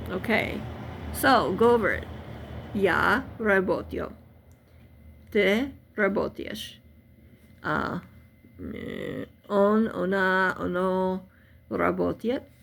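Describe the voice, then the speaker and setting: With a non-native accent, a woman speaks at a very slow pace. She leaves long, frequent pauses. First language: not Russian. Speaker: language learning youtuber. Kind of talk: tutorial. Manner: halting.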